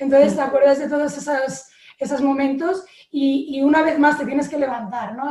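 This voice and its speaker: With a dark, mellow tone, a woman talks in a high voice. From Spain. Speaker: water polo player. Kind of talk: live panel discussion.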